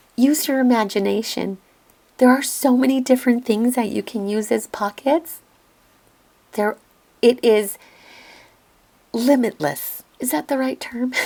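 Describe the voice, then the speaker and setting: A woman with a calm, dark, mellow tone, high pitch, ordinary pitch variation, fairly slow pace and long, frequent pauses. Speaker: crafting youtuber. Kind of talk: tutorial voiceover. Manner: calm, instructional.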